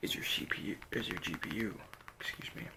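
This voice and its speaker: Soft-spoken talk at a fairly slow pace over noticeable background noise. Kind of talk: ASMR roleplay, emergency eye surgery. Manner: softly spoken.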